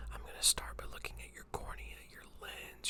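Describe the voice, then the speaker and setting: A man is whispering at a moderate pace in a calm tone. Noticeable background noise sits behind him. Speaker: eye doctor (optometrist) doing a roleplay exam. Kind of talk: ASMR roleplay, eye exam. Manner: soft-spoken, calm, close-up whispering.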